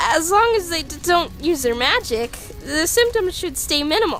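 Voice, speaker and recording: A put-on character voice, female-sounding and extremely high-pitched, at a moderate pace over clear music in the background. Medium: dub. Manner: hesitant, stammering.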